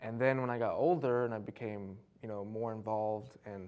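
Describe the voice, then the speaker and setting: A man speaks with a dark, mellow tone and fairly even intonation. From Detroit, Michigan. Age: 30s. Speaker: poet and comedian; poet, comedian. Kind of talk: casual studio interview chat. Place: studio. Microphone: lapel.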